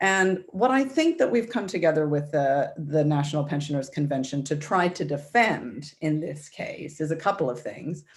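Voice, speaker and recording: An American accent at a moderate pace, hardly any pauses, quiet background. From United States. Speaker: campaigner for a tech fairness group. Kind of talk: webinar talk. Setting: video call.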